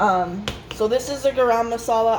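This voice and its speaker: Noticeable background noise sits under a woman's speech. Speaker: home cooking vlogger. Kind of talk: cooking tutorial. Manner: loud.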